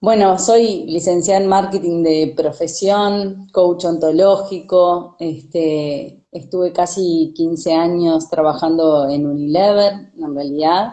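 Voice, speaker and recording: The speech moves at a very slow pace. There are hardly any pauses. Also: woman, fairly low pitch for a woman, ordinary pitch variation. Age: 40s. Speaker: sustainability consultant and coach. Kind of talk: casual chat. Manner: halting.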